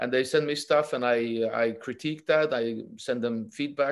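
This man has an ordinary speaking voice at a medium pitch. His intonation is fairly even. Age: 40s. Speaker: jiu-jitsu coach. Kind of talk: casual chat.

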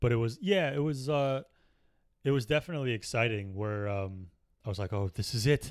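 A man's unremarkable speaking voice, fairly quick, with lively intonation, in a very clean recording with a silent background. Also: medium pitch for a man. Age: 30s. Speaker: stand-up comedian and comedy writer. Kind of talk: casual chat.

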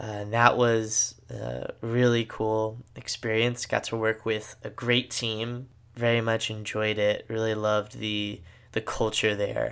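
The recording is very clean, with a silent background. A man with an American accent talks at a fairly slow pace and medium pitch in a monotone, flat intonation. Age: 20s. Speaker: podcast host, seminarian. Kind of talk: solo podcast monologue. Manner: casual, filler-heavy.

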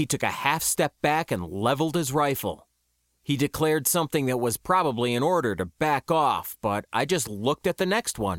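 Speaking in a dramatic tone with vocal fry, a man uses a fairly high pitch that swings very widely at a moderate pace. The recording is very clean with a silent background, and the sound is dry and close with no echo. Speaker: audiobook narrator. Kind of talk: literary audiobook reading, first-person sci-fi narration. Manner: measured, steady storyteller pacing, wry, with dramatic emphasis in action scenes.

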